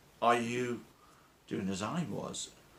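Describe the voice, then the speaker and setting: A man's voice carries audible room echo. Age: 60s. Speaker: weight-loss vlogger. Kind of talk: motivational monologue.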